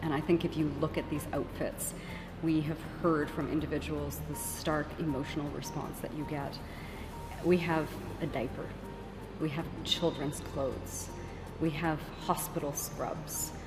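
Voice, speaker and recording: Over music in the background, a woman speaks with long, frequent pauses. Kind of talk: interview answer. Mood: serious, earnest. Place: hall. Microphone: handheld.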